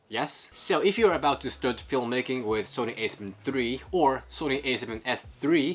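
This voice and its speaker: With music in the background, a man speaks at a moderate pace and medium pitch in a non-native accent. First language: not English. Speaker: camera gear YouTuber. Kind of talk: tutorial; casual chat. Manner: halting.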